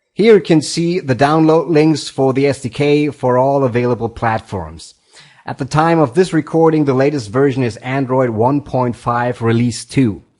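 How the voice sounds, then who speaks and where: At a moderate speed, a man talks with a non-native accent. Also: medium pitch for a man, ordinary pitch variation. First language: not English. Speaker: programming tutorial host. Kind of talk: tutorial.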